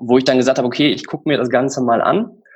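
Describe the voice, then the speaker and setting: A man speaks at a medium pitch. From Lower Rhine, Germany (Emmerich/Rees, near Dutch border). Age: 30s. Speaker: amateur triathlete. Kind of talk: interview. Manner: halting, many fillers.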